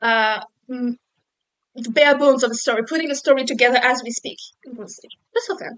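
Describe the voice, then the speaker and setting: A woman with a non-native accent, high in pitch with ordinary pitch variation, fairly quick yet marked by long, frequent pauses and big swings in loudness. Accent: noticeable non-native accent in English. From Mediterranean region. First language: not English. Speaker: podcast co-host, PhD student. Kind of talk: casual chat.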